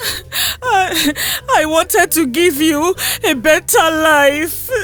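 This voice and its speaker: A put-on character voice at extremely high pitch, tearful and shaky, very slow, with light background noise. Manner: shaky, tearful.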